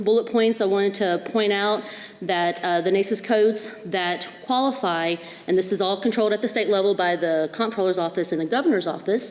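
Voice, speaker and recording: A woman with an American accent talks at a fairly quick pace in a medium pitch, her pitch varying in an ordinary way and her loudness very even, over noticeable background noise. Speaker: county official presenting to school board. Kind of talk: presentation at public meeting. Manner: fast.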